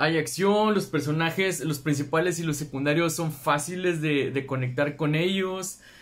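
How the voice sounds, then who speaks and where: A man with a Mexican accent speaks at a fairly high pitch and fairly slow pace, with ordinary pitch variation. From Mexico. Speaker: booktuber; book vlogger. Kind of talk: casual video monologue. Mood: cheerful, enthusiastic. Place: home room. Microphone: phone near.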